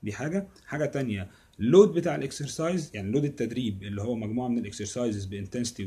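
A man speaks at a fairly quick pace in a dark, mellow tone. His voice is somewhat breathy. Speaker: fitness coach. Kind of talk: casual explanatory vlog chat. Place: home room. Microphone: phone near.

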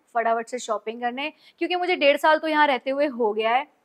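Behind this woman the background is quiet. She speaks at a high pitch and moderate pace with ordinary pitch variation. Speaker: vlogger. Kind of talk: casual vlog chat. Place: home room.

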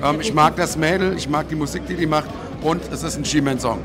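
Amid noticeable background noise, a man with a fairly high pitch talks at a moderate pace with ordinary pitch variation. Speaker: ring announcer and host. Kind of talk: interview answer. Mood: relaxed, upbeat. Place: hall. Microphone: handheld.

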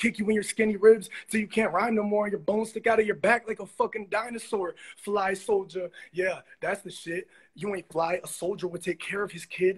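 A man's high-pitched voice with fairly even intonation over a quiet background. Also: moderate pace. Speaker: livestream viewer joining. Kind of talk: casual chat. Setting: video call. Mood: challenging, mocking. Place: home room. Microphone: phone near.

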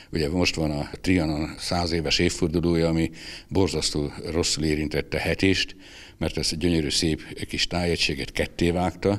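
The speaker keeps a moderate pace and fairly even intonation against a quiet background. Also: man. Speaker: retired newspaper editor and photographer; former newspaper editor. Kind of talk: interview; interview answer. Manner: halting, with filler sounds. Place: hall.

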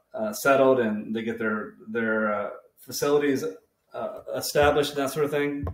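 Audible room echo around a man's voice, its pitch varying in an ordinary way. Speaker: spirits reviewer. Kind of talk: casual review vlog chat. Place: kitchen. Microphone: webcam.

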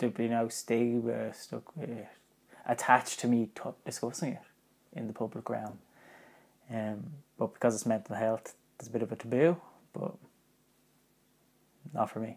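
Here a man talks at a moderate pace with ordinary pitch variation. He leaves long, frequent pauses, and his loudness swings widely. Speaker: vlogger. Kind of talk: casual vlog chat. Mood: reflective, personal, slightly nervous. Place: home room.

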